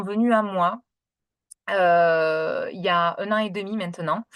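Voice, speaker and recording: A woman's medium-pitched voice moves at a very slow pace, with ordinary pitch variation. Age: 30s. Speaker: kinesiologist and essential oils seller. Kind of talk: sales pitch presentation. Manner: hesitant, many fillers; talkative.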